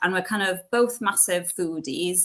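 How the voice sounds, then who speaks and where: Someone with a West Wales accent speaks at a fairly quick pace. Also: woman. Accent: Welsh (West Wales, Welsh-speaking). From West Wales, near Cardigan. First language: Welsh. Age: 20s. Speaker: entrepreneur, cafe owner. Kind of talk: interview. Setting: online event. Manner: casual, many fillers.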